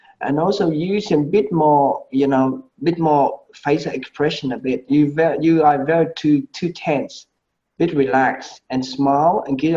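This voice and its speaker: With a Vietnamese accent, a man speaks at a moderate pace in a dark, mellow tone with fairly high pitch. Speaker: medical presentation panelist. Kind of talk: feedback critique. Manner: halting.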